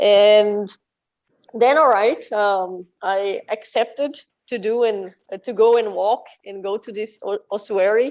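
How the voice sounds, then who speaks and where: Speaking at a very slow pace, a woman with a Portuguese accent has a fairly high pitch. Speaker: metal band musician. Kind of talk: interview. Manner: halting.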